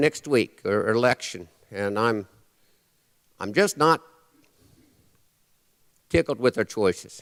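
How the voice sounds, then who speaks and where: A man with an American accent, very slow, with long, frequent pauses and a dry, close sound free of echo. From Nebraska. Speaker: cowboy poet. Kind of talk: live stage performance, humorous cowboy poetry and storytelling. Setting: live audience in a church. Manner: folksy, dry humor.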